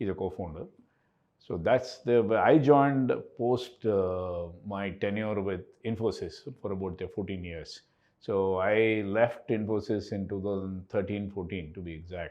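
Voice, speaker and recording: A man speaks in an ordinary speaking voice at a fairly low pitch with ordinary pitch variation. His pace is fairly slow, and his loudness swings widely. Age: 60s. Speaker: company co-founder and CEO. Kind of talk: podcast interview.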